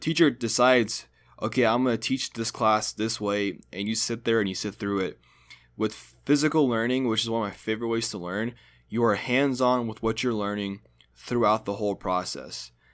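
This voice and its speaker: Pitch varies in an ordinary way on a very clean recording with a silent background. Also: man, medium pitch for a man, moderate pace. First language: Hungarian. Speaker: student. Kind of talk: scripted narration.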